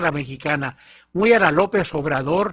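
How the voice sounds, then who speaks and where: The speaker here is a man with ordinary pitch variation. He moves along fairly slowly. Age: 70s. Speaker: radio panelist. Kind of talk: political commentary on radio.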